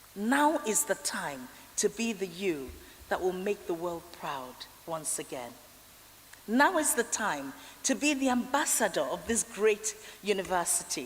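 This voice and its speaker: Speaking at a fairly slow pace in a Nigerian accent, a woman lets her pitch swing very widely and leaves long, frequent pauses. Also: medium pitch for a woman. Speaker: honorary fellow giving graduation address. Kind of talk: commencement speech. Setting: graduation ceremony hall.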